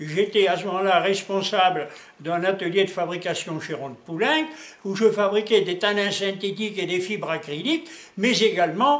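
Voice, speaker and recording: Against noticeable background noise, a man speaks at a moderate pace in a high voice with lively intonation. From Alsace, France. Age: 80s+. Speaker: laboratory owner, chemist. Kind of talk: interview. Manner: hesitant, many fillers.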